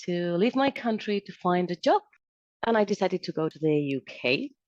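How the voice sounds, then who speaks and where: A woman's medium-pitched voice with a Spanish accent, lively intonation and a moderate pace, in a dry, close sound with no echo. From Spain, Madrid. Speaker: civil engineer, project manager. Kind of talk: interview.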